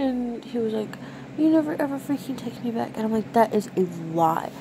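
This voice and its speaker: A woman speaks over noticeable background noise. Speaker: vlogger. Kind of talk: casual vlog chat. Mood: giggly, playful storytelling. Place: home room. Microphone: phone near.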